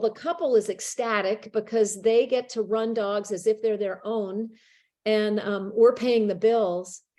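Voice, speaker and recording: Recorded very cleanly against a silent background, a woman talks at a fairly slow pace in a normal speaking voice with ordinary pitch variation. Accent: American. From Connecticut. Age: 60s. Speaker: author and sled dog racer. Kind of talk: classroom Q&A talk.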